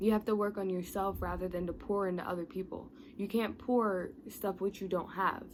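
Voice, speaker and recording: A woman with an ordinary speaking voice talks at a moderate pace and medium pitch, with ordinary pitch variation. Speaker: motivational youtuber. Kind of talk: motivational talk to camera. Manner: casual, with fillers and self-corrections.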